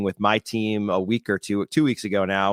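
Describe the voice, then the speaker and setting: In an American accent, the monotone, flat delivery comes through a dry, close sound with no echo on a very clean recording with a silent background. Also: man. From US Northeast. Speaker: podcast host. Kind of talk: casual interview chat. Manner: fast.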